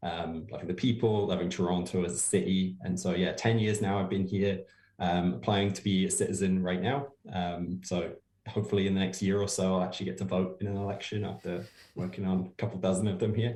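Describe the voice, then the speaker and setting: A man with an English accent speaks at a fairly quick pace, his voice very deep and low. His tone is dark and mellow, and his intonation stays fairly even. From England. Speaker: political campaigner. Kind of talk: podcast interview. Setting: remote call.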